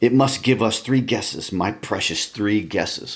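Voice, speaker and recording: A man's put-on character voice, medium in pitch at a moderate pace, with hissing. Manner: hissing, wheedling.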